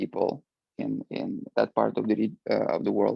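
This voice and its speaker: A man is speaking. He has a Russian accent. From Ukraine. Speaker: alumni panelist, international employee. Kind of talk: panel discussion. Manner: halting, many fillers.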